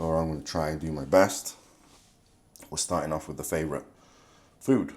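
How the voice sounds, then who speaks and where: In a very clean recording with a silent background, a man talks with a very deep, low pitch and fairly even intonation. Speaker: bodybuilder. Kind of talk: vlog. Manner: hesitant, many fillers.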